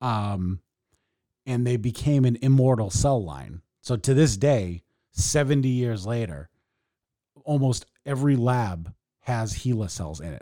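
At a fairly slow pace, a man with a dark, mellow tone uses lively intonation, broken by long, frequent pauses. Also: medium pitch for a man. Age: 30s. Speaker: podcast co-host. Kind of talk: casual chat. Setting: remote call.

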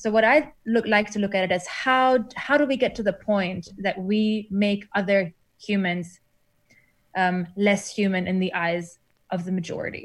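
Somewhat breathy and medium in pitch, a woman talks at a fairly slow pace with ordinary pitch variation. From Germany. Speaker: academic. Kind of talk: interview.

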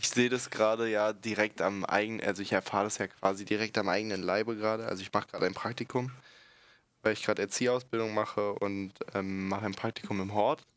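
A man talks at a very fast pace in a monotone, flat delivery, his pitch fairly low. The recording is very clean, with a silent background. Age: 20s. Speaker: podcast guest, school friend of co-host. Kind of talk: casual chat.

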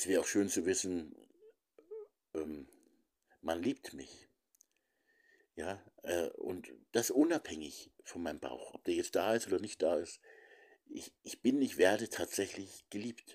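Long pauses come often. Overall, the tempo stays fairly unhurried. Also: man, big swings in loudness. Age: 50s. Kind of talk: monologue reflection. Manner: hesitant with many fillers.

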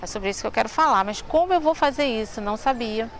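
The intonation is lively and the pace fairly quick. Noticeable background noise is present. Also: woman. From Rio de Janeiro, Brazil (Madureira). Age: 50s. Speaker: tour guide. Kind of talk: interview.

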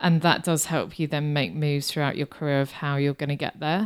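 Very deep and low in pitch, a woman speaks with a British accent on a very clean recording with a silent background. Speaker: marketing business founder. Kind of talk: interview.

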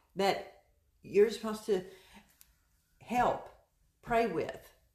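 A woman speaks at a fairly high pitch. Audible room echo colors the recording. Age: 60s. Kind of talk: casual chat.

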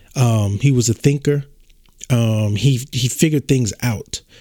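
Dry and close with no echo, a man's medium-pitched voice has a dark, mellow tone, ordinary pitch variation and a fairly slow pace. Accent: American. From southern Louisiana. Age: 30s. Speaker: podcast host. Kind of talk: personal monologue.

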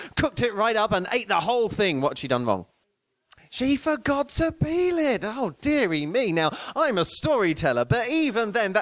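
There's a theatrical, playful tone to this man's voice. He keeps a moderate pace. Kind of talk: live storytelling to an audience, fairy-tale ghost story with audience call-and-response. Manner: playful, animated, jokey, with ad-libs and teasing of an audience member; interactive, coaxing the crowd to join in, clear and theatrical.

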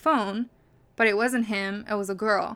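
At a moderate pace, a woman speaks with a fairly high voice. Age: 20s. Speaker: podcast host. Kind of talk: casual monologue. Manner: animated. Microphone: new microphone.

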